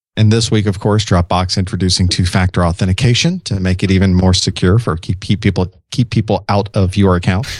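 A man with a very deep, low pitch and a somewhat breathy voice talks at a fairly quick pace with hardly any pauses. His intonation is fairly even and his loudness very even. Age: 40s. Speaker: IT trainer and podcaster. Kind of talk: casual chat.

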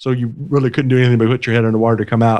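A man's medium-pitched voice with a Southern US accent, at a very fast pace. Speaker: podcast host. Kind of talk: casual chat.

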